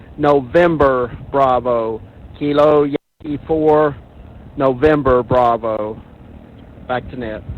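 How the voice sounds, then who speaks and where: A man with a Southern US accent speaks at a very slow pace. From US South, Arkansas. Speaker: amateur radio operator checking in. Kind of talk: radio net check-in. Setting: amateur radio net.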